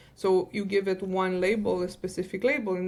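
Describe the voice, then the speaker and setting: A woman talks at a fairly quick pace with a non-native accent. Her pitch is medium, and noticeable background noise can be heard. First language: not English. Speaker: data science director and podcast co-host. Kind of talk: podcast interview. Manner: animated.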